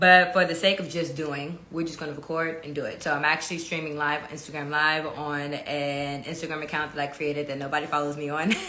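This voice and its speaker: A woman with an American accent and a very deep, low pitch, monotone and flat, with hardly any pauses, audible room echo and noticeable background noise. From California. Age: 20s. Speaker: event producer and channel host. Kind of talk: casual monologue on a live stream. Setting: Instagram live stream. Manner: casual, with many fillers.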